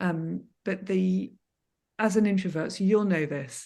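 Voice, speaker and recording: Soft-spoken, a woman talks at a medium pitch in a dark, mellow tone with ordinary pitch variation. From Scotland. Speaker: landscape photographer. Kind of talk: podcast interview answer.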